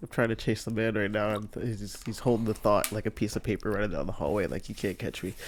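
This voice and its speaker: A man talking at a very fast pace with fairly even intonation. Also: fairly low pitch for a man. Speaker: podcast co-host. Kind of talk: casual chat. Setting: living room at home. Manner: softly.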